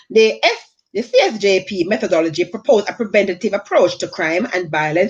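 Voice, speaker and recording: A woman speaks at a fairly quick pace, and her pitch swings very widely. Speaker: online talk show host. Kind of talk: live online show, reading out information. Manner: fast; halting, many restarts.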